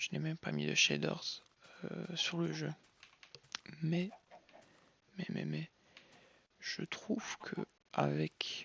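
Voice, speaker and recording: A man talking at a very slow pace. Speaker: gaming youtuber. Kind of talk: gameplay commentary. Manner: slow, calm; hesitant, many fillers.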